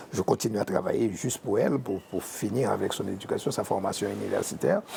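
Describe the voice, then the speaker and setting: With very wide swings in pitch, a man talks fairly quickly as noticeable background noise fills the recording. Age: 60s. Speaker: painter and art teacher. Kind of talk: interview. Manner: halting, many repetitions.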